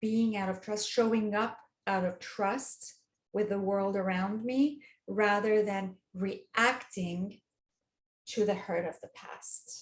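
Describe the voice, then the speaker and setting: A woman talks very slowly with a non-native accent. Her voice is medium in pitch and somewhat breathy. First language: not English. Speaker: dating coach. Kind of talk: interview. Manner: hesitant, with restarts and fillers.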